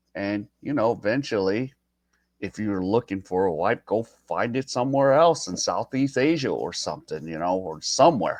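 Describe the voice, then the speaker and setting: A man talks at a moderate pace with an American accent. The sound is dry and close with no echo, over a quiet background. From United States. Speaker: YouTube reaction host. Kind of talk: reaction commentary. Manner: hesitant, many fillers.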